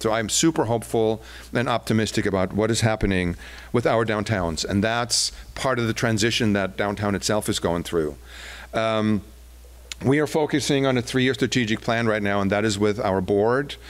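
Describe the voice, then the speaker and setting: A man with a German accent talks at a fairly quick pace and fairly low pitch, with ordinary pitch variation and very even loudness. The recording is very clean, with a silent background. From Germany. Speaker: downtown business association executive. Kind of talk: public presentation. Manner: hesitant, many fillers.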